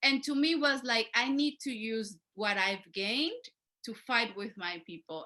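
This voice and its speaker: In a Spanish accent, a woman speaks with a bright, sharp tone. Her pitch varies in an ordinary way at a moderate pace. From Mexico. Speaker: community organizer. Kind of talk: panel discussion.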